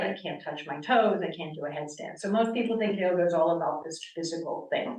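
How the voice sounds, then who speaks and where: The speaker talks at a fairly quick pace with an American accent, and audible room echo fills the recording. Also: woman. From US East Coast, Connecticut. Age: 60s. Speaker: yoga teacher. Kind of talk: lecture. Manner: loud; animated.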